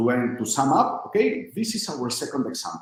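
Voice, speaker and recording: A man's voice with vocal fry and very wide pitch swings, plus audible room echo. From northern Spain. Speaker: coding instructor. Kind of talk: live coding tutorial.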